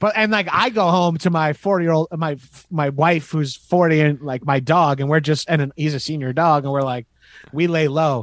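On a very clean recording with a silent background, a man with an American accent speaks in a normal speaking voice at a fairly high pitch, keeping a moderate pace and ordinary pitch variation. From Long Island, New York. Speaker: comedian. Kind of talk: casual chat.

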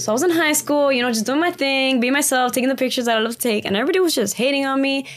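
A woman's high voice at a very fast pace, hardly any pauses, very even loudness and ordinary pitch variation, over noticeable background noise. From Miami, raised from age five, born in Cuba. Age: 20s. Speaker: social media influencer. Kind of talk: casual chat.

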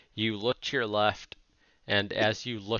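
Pitching his voice fairly low, a man performs a put-on character voice. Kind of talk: tabletop game narration. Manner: casual, joking, vivid.

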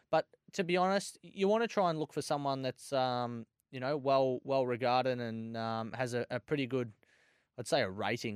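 Recorded dry and close with no echo against a silent background on a very clean recording, a man speaks at a medium pitch with an Australian accent. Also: ordinary pitch variation, moderate pace. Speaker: greyhound racing tipster. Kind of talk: casual racing chat, excited live race reaction. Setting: studio.

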